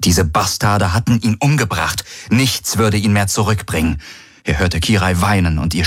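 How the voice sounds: Here is a natural reading voice. Its pitch variation is ordinary.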